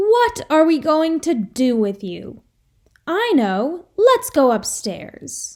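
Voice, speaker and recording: A woman does a put-on character voice, high-pitched and warm, cheerful in tone, with very wide pitch swings. She talks at a very slow pace in a very clean recording with a silent background. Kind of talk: bedtime story. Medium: read story.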